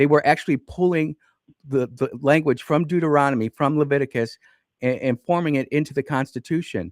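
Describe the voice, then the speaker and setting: A man with a normal speaking voice, fairly high pitch and ordinary pitch variation, at a fairly quick pace, in a dry, close sound with no echo. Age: 50s. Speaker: radio talk show host. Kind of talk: call-in radio debate. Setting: radio studio.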